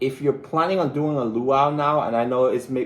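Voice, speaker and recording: Speaking at a fairly quick pace, a man talks with a Belizean accent. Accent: Caribbean (Belizean). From Belize, Caribbean. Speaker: travel vlogger. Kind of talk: live stream chat. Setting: live stream. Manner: animated, excitable.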